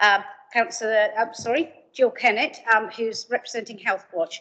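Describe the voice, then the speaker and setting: Here is a woman speaking. Her pace is fairly quick. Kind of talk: formal meeting chairing, introductions. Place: meeting room.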